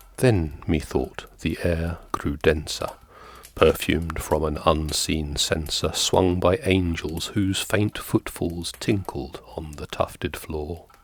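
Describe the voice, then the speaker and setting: Over noticeable background noise, a man with a very deep, low pitch talks at a very slow pace with fairly even intonation. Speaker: ASMR reader. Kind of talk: ASMR poetry reading.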